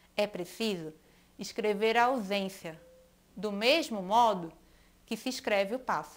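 A woman's very slow, lively-toned speech on a very clean recording with a silent background. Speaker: school teacher. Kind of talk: educational video lesson, with a poem read aloud. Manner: clear, didactic, friendly.

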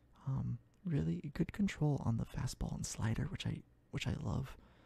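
In a dry recording with no echo, a soft-spoken man speaks at a moderate pace. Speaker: gaming streamer. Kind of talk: ASMR gaming commentary. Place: home room. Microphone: studio mic.

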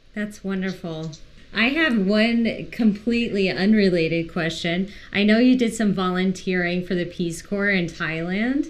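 A woman's normal speaking voice, medium in pitch, with ordinary pitch variation at a fairly slow pace. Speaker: podcast co-host. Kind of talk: podcast interview.

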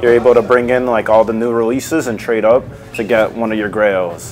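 Over faint music in the background, a man speaks at a fairly quick pace. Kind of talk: interview answer. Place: shop. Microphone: lapel.

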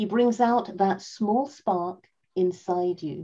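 A woman's dark, mellow tone stands out against a quiet background. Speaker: event moderator. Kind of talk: event moderation. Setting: video call. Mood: warm, cheerful, smiling. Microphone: video call.

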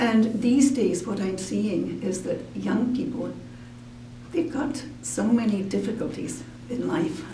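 A woman's very slow speech, with light background noise and audible room echo. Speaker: activist, grandmother. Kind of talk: casual talk to camera. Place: studio.

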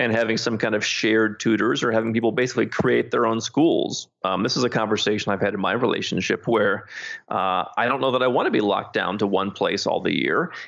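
A man with an American accent speaks in a normal speaking voice at medium pitch, with ordinary pitch variation, very even loudness and hardly any pauses. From United States. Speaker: author and expat consultant. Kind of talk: interview.

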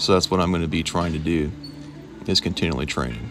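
A man is speaking. Noticeable noise sits behind him. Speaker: ultramarathon runner. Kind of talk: casual talk to camera. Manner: monotone.

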